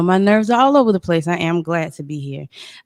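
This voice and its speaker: Someone with a Southern US accent speaks with ordinary pitch variation in a very clean recording with a silent background. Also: woman. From South Carolina, Georgetown area. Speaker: podcast guest. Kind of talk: personal testimony. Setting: studio.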